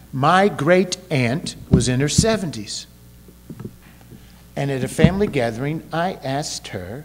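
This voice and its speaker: A man at a fairly high pitch and fairly slow pace, with lively intonation, big swings in loudness, long, frequent pauses and noticeable background noise. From Kentucky. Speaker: pastor. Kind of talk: sermon. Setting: church.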